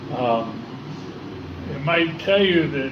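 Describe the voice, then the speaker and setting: A man talks very slowly, with noticeable background noise and audible room echo around him. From US West Coast, Los Angeles. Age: 60s. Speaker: recovering alcoholic AA speaker. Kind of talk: recovery testimony. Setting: in-person meeting room. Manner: halting, many fillers.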